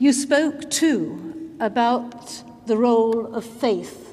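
There is noticeable background noise behind this woman. She has a British accent and a fairly high pitch. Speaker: Lord Speaker giving vote of thanks. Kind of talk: formal vote of thanks.

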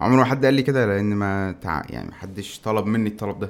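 A man with a normal speaking voice and a fairly low pitch talks fairly quickly with fairly even intonation. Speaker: tech YouTuber. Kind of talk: casual chat.

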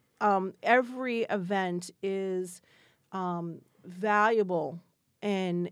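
A woman talks in an ordinary speaking voice with an American accent. Her pitch is medium and her intonation fairly even. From Florida, Spring Hill near Tampa. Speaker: downtown business association director. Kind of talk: interview.

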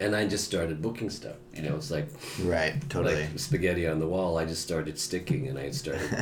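In an American accent, a man speaks with a very deep, low pitch and lively intonation. The recording carries audible room echo and noticeable background noise. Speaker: actor and voiceover artist. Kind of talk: casual chat.

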